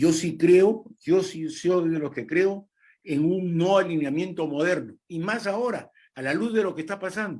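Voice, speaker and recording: Lively intonation marks a man's high-pitched voice. He speaks at a fairly slow pace. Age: 70s. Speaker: diplomat. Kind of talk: political interview discussion.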